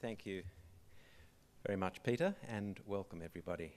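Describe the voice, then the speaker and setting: Speaking at a moderate pace, a man with a fairly low voice has a slight English accent. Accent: slight English accent retained. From Australia, arrived from England at age six. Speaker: museum director. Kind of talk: opening speech. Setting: theatre with live audience. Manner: formal.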